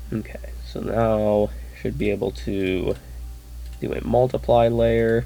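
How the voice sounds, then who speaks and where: The voice is quiet and relaxed, moving at a very slow pace with long, frequent pauses. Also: man. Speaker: artist. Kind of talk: tutorial. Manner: quiet, just woke up; casual, relaxed.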